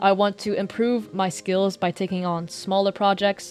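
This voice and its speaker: A woman speaks at a medium pitch in a monotone, flat intonation. Music plays in the background. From Chinese background. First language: Mandarin. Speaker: animator and content creator. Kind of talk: Q&A video narration.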